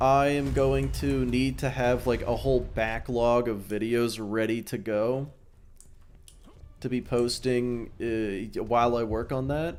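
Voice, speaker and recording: A medium-pitched man at a very slow pace with fairly even intonation and audible room echo. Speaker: gaming streamer and YouTuber. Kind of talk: casual live-stream gameplay chat. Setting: live stream while playing a game. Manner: halting, many fillers and restarts.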